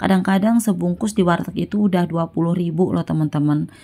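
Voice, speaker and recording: A woman's fairly low voice at a very fast pace. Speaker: housewife cooking vlogger. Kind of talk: casual vlog voiceover. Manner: chatty.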